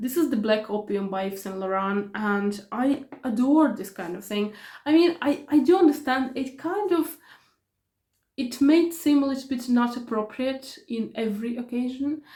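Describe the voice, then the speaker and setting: High in pitch, a woman talks at a moderate pace with lively intonation. Her tone is dark and mellow. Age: 40s. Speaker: beauty vlogger. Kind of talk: product review vlog. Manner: hesitant, with many fillers and repetitions.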